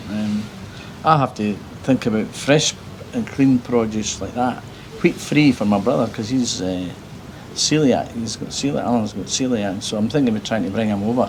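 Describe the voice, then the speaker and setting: With an Edinburgh accent, a man speaks at a moderate pace and medium pitch, with ordinary pitch variation and noticeable background noise. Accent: Scottish (Edinburgh). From Scotland, Edinburgh. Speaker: travel vlogger. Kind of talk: casual chat; vlog narration. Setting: on a motorbike.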